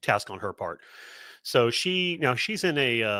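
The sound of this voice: An unforced reading voice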